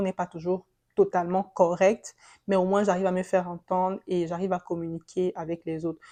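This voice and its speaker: A woman's dark, mellow tone, fairly even intonation, and moderate pace against a quiet background. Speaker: vlogger sharing immigration experience. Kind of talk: casual vlog monologue. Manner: halting.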